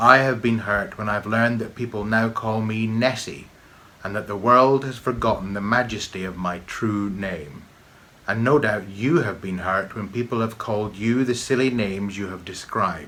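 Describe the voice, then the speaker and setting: In a put-on character voice, a man sounds gravelly and rumbling at a medium pitch and a moderate pace. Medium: read story. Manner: stately, deliberate.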